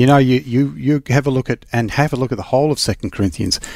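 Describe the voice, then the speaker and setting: A man with an Australian accent at medium pitch, recorded very clean against a silent background, dry and close with no echo. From Western Australia. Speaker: safety investigator and consultant. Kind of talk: casual chat.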